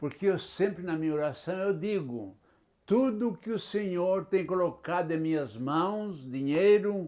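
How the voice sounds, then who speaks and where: On a very clean recording with a silent background, a man with a high pitch and a dark, mellow tone speaks at a fairly slow pace. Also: ordinary pitch variation. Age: 80s+. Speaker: retired pastor. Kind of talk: interview. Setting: at his home.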